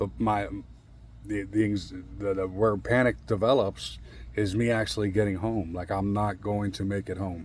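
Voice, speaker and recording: At a fairly slow pace, a man speaks with a fairly low pitch and ordinary pitch variation. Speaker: vlogger sharing mental health experiences. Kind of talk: casual personal monologue. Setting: outdoors. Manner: halting, with repetitions and filler.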